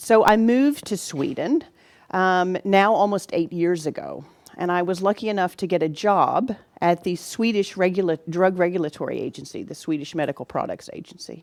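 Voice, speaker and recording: A woman with an American accent talks at a moderate pace with ordinary pitch variation. The recording is very clean, with a silent background. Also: medium pitch for a woman. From United States. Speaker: physician and vaccine safety specialist. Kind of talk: lecture. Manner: halting.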